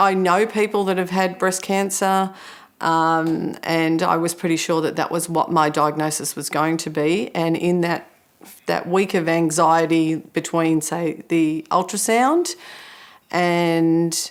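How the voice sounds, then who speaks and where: A woman speaks with an unremarkable speaking voice. Her pitch is fairly low, her pace fairly slow and her intonation fairly even. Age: 50s. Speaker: breast cancer patient sharing experience. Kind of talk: testimony.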